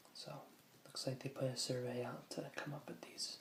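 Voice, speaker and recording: Soft-spoken and somewhat breathy, this man talks at a medium pitch. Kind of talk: ASMR soft-spoken book reading.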